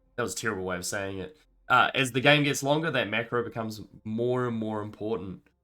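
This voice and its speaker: A man at medium pitch with ordinary pitch variation, music in the background. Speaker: esports caster. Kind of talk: live commentary. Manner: casual.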